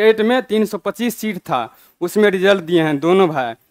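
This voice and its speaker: The sound is dry with no echo. The pace is fairly slow. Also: man, quiet background. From Bihar, Madhubani (Mithila); Bihar, India. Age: 30s. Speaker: police sub-inspector; candidate. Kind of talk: testimony. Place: studio.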